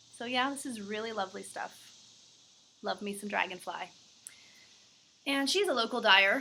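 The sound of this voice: A woman puts on a raspy character voice with a fairly high pitch. She keeps a moderate pace, broken by long, frequent pauses.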